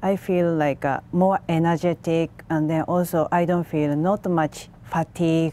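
Delivered at a fairly slow pace in a Japanese accent, the voice has a dark, mellow tone, a monotone, flat intonation and very even loudness, with a dry sound with no echo. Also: woman, fairly low pitch for a woman. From Japan, Tokyo. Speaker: macrobiotics instructor; guest. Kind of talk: TV interview; interview answer. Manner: halting. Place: studio.

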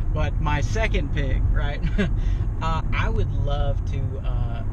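A man speaks with a dry sound and no echo. Loud background noise runs behind him. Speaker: interview guest. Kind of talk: interview answer. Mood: relaxed, thoughtful. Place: car. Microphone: camera far.

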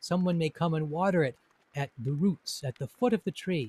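A man speaks in a gentle, warm tone, fairly high in pitch. His pitch varies in an ordinary way, and the sound is dry with no echo. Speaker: teacher and poet-translator. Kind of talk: poem reading and short talk. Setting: recorded indoors, rain audible. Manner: slow, calm, measured, contemplative; gentle, warm, reflective. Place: home room. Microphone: studio mic.

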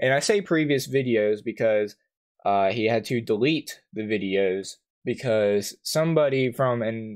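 The background is quiet. A man talks at a fairly slow pace with ordinary pitch variation. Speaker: YouTuber. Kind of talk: commentary. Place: home room.

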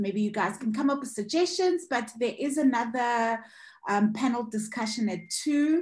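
Against a quiet background, a woman talks in a fairly high pitch with very wide pitch swings. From South Africa, Eastern Cape. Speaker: panel moderator, filmmaker; panel moderator. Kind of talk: online panel discussion. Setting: video call. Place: home room. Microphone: video call.

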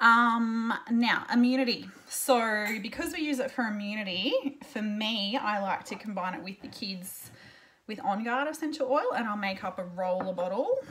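With an Australian accent, a woman speaks at a moderate pace in a bright, sharp tone, with big swings in loudness. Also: ordinary pitch variation. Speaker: essential oil seller and blogger. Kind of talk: tutorial. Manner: casual, chatty with fillers. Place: home room. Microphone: webcam.

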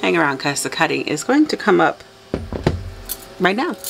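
Vocal fry runs through a woman's fairly low, fairly bright voice. Her pitch swings are big. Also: moderate pace.

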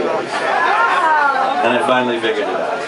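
A man talks with crowd noise in the background. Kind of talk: stage banter story. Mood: humorous, self-deprecating. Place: bar.

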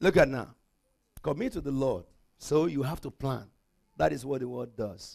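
A man speaks at a moderate pace against a quiet background, with long, frequent pauses. His tone is animated, his intonation lively, and his voice has vocal fry. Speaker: pastor. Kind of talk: sermon. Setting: church. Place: church. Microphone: handheld.

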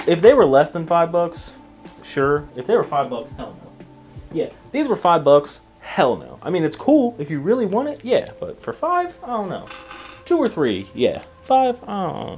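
Loudness swings widely as a man talks at a moderate pace. Faint music plays behind him. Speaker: tech reviewer. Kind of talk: casual product review chat. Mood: dry, mildly unimpressed. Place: home room. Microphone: camera far.

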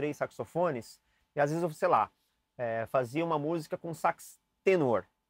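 In a very clean recording with a silent background and a dry, close sound with no echo, a man with a fairly high pitch speaks at a moderate pace in an unremarkable speaking voice with ordinary pitch variation. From Brazil, São Paulo. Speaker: saxophone teacher. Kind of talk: tutorial. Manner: casual, chatty.

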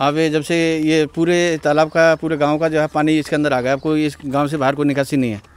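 A man speaks at a moderate pace in a fairly high pitch, his intonation monotone and flat. The sound is dry, with no echo. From Delhi, India (village). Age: 40s. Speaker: villager; interviewee. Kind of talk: interview. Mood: complaining, earnest. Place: street. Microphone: handheld.

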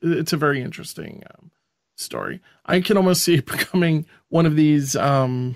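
In a Long Island accent, a man talks at a fairly high pitch with ordinary pitch variation and big swings in loudness, the sound dry and close with no echo. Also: moderate pace. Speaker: podcast co-host. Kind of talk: casual chat.

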